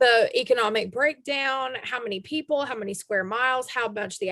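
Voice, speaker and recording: A woman speaks with a Southern US accent. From US South. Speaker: podcast host. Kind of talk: casual chat.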